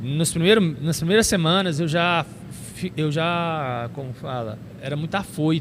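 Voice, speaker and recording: With a plain, everyday voice, a man speaks fairly slowly at a fairly high pitch, his pitch varying in an ordinary way. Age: 30s. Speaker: preacher and youth pastor. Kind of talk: casual chat.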